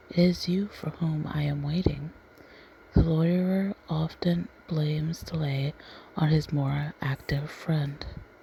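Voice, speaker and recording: This soft-spoken voice has a calm tone and moves at a very slow pace. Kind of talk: soft-spoken ASMR story reading. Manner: soft-spoken, calm.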